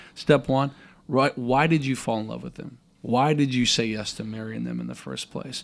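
Here a man speaks with an American accent. The recording is very clean, with a silent background. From US Midwest, Minnesota. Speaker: pastor. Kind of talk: casual interview, personal testimony.

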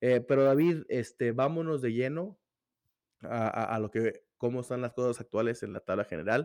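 Against a quiet background, a man with a plain, everyday voice talks at a moderate pace. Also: medium pitch for a man, ordinary pitch variation. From Torreón, northern Mexico. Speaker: football podcast host. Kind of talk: casual football chat.

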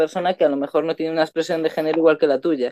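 Fairly even intonation from a woman at a fairly low pitch. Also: dry, close sound with no echo. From Canary Islands, Spain. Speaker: podcast co-host. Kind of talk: casual chat.

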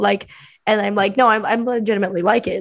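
A woman speaks at a medium pitch with fairly even intonation and a fairly quick pace, in an ordinary speaking voice. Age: 20s. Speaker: podcast host. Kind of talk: casual interview chat.

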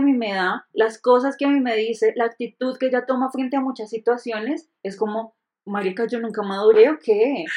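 A woman talks at a moderate pace in an ordinary speaking voice, fairly high in pitch. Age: 30s. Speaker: podcast co-host. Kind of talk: casual chat.

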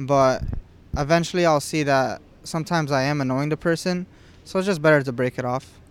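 Here is a man with an ordinary speaking voice and a fairly high pitch. He keeps a fairly quick pace and fairly even intonation. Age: 20s. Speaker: podcast guest. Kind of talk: casual chat.

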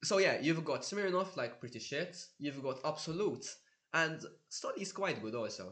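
Lively intonation and a bright, sharp tone come through with audible room echo. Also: man. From Malta. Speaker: veterinary student. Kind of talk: casual chat.

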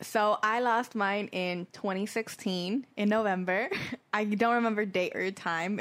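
A woman talks at a fairly slow pace and a medium pitch. Hers is a plain, everyday voice with fairly even intonation. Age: 20s. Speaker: podcast co-host. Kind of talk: casual chat. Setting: studio.

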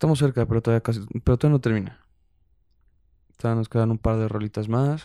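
In a relaxed, dark, mellow tone at medium pitch, a man speaks with a dry, close sound with no echo in a very clean recording against a silent background. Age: 20s. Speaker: podcast host. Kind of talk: casual chat.

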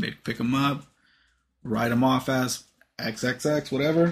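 A man with a medium pitch and an unremarkable speaking voice talks at a fairly slow pace, his pitch varying in an ordinary way. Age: 20s. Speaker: podcast host. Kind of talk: casual chat.

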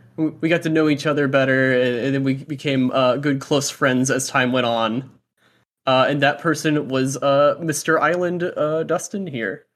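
This man has an unremarkable speaking voice, fairly high in pitch, with an American accent, fairly even intonation and a moderate pace. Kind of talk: casual chat. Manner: casual, filler-heavy.

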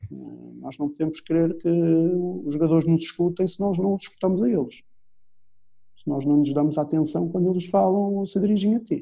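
With a European Portuguese accent, a man talks at a moderate pace in a high, dark, mellow voice with ordinary pitch variation. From Portugal. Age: 40s. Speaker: football coach. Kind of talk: interview. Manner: halting.

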